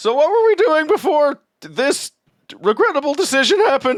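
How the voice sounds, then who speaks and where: A man uses a put-on character voice, pitched extremely high. His pace is moderate. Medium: actual play. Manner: earnest, mildly defensive.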